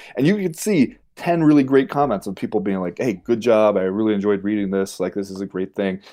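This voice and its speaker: With an American accent and a dark, mellow tone, the speaker moves at a fairly quick pace with hardly any pauses and ordinary pitch variation against a quiet background. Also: man, fairly low pitch for a man. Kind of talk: casual chat.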